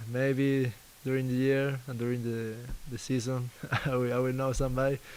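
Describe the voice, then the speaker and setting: Delivered in an Argentine accent, the speech has monotone, flat intonation. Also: man, medium pitch for a man, moderate pace. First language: Spanish. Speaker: basketball player. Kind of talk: press interview. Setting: media availability. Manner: halting, repeats words.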